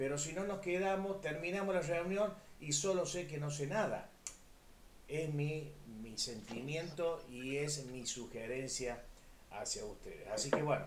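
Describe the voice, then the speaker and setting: Amid audible room echo, a man with a fairly high pitch speaks at a fairly slow pace with lively intonation. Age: 60s. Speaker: physical education teacher. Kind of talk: online class discussion.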